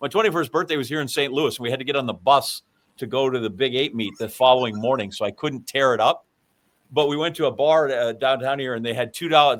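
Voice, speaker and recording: Very fast, animated speech from a man at medium pitch, with ordinary pitch variation. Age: 60s. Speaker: podcast guest. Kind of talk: casual chat.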